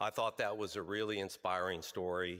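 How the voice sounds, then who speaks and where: A man speaks loud in a very deep, low voice with a bright, sharp tone. The recording is very clean, with a silent background. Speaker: health insurance executive, award recipient. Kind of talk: award acceptance speech. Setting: stage at a luncheon event. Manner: hesitant, many fillers.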